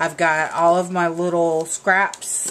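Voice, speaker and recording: In a Southern US accent, a woman speaks with a fairly low pitch. Her pace is very slow. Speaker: craft video maker. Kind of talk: craft tutorial. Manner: casual, chatty with fillers.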